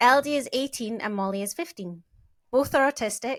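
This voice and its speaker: A woman with a British accent, moderate pace and ordinary pitch variation. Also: very clean recording, silent background. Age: 40s. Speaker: podcast co-host. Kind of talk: casual podcast chat.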